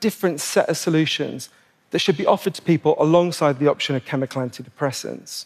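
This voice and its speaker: Delivered at a fairly quick pace, an ordinary speaking voice moves with lively intonation. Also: man. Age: 40s. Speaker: public speaker, author on depression. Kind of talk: staged talk.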